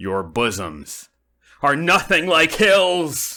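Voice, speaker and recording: On a very clean recording with a silent background, a man in a put-on character voice speaks very slowly at a fairly high pitch with very wide pitch swings. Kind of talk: radio comedy drama.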